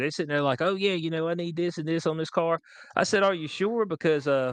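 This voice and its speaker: A man with a Southern US accent against a quiet background. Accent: country Southern. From US South, rural North Carolina. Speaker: podcast host. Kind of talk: casual chat. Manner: animated.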